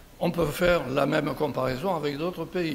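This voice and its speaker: Audible room echo and noticeable background noise around a man's fairly high voice. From southern France, Béziers. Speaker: conference speaker. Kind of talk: conference talk. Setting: round table with audience.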